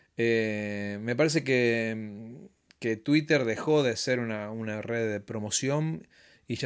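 Against a silent background on a very clean recording, a man with a Rioplatense accent speaks at medium pitch with ordinary pitch variation. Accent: Argentine Rioplatense Spanish. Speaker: musician. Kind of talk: casual interview chat.

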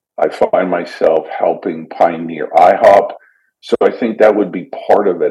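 A man speaks at a moderate pace with a Canadian accent. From Canada. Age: 50s. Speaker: missionary and church pioneer. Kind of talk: casual interview chat.

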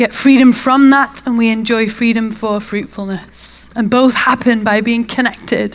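In a British accent, a woman talks at a fairly slow pace with a fairly high pitch and fairly even intonation. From UK England.

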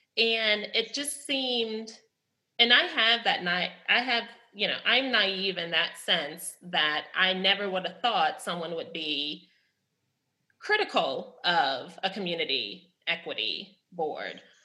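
Speaking very slowly, a woman uses lively intonation. She has an American accent. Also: medium pitch for a woman. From New Orleans, US South. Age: 30s. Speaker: chemistry lecturer. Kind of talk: panel conversation.

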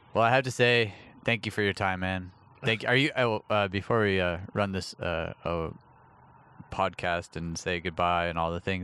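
A man with a very deep, low pitch and a bright, sharp tone speaks at a moderate pace with long, frequent pauses. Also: ordinary pitch variation. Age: 30s. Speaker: podcast host and touring audio engineer. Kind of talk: casual chat. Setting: on a patio at a friend's house.

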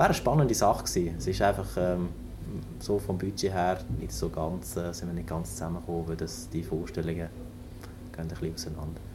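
With audible room echo, a man talks very fast in a very deep, low voice that swings very widely in pitch. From northern Germany, near Hamburg. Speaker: naval engineer. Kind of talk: interview. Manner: halting, many fillers.

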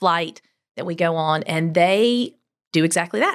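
On a very clean recording with a silent background, a woman with a South Carolina accent speaks at a fairly low pitch and a moderate pace. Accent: Southern US (South Carolina). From US South, Greenville, South Carolina. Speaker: travel company owner, former teacher. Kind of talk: interview.

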